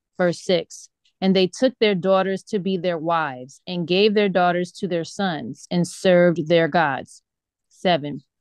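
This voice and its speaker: A woman with an ordinary speaking voice talks fairly slowly at a fairly low pitch with ordinary pitch variation, the sound dry with no echo and the background quiet. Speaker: bible study participant. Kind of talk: scripture reading. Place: home room. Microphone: video call.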